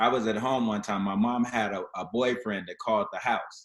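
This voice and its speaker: On a very clean recording with a silent background, a man uses a plain, everyday voice at a moderate pace with fairly even intonation. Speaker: panelist. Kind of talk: panel discussion.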